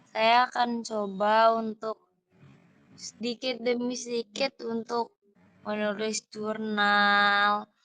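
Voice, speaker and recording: A woman with a fairly high pitch and a bright, sharp tone speaks at a very slow pace in a monotone, flat intonation. The sound is dry and close, with no echo. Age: 20s. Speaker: university student playing a client. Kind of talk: role-play counseling session.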